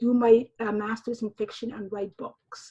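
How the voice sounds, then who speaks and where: Somewhat breathy, a woman with a Somali accent speaks at a moderate pace with fairly high pitch and a monotone, flat intonation. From Somalia. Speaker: novelist and high school teacher. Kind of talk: interview conversation. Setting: remote recording from home. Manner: halting.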